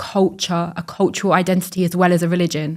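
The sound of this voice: Speaking at a fast pace, a woman keeps her pitch fairly low.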